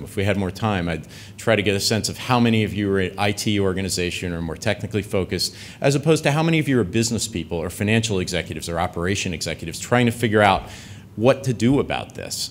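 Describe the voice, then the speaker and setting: Very fast delivery in an American accent with lively intonation. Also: man. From United States. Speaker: tech company executive. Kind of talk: conference talk. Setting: conference stage with audience. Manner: casual with many fillers.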